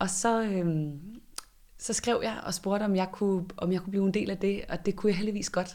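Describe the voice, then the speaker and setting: A woman with a dark, mellow tone speaks at medium pitch and a moderate pace. Her intonation is monotone and flat. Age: 30s. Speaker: director of a student innovation centre. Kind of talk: interview. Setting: on location in a building under renovation.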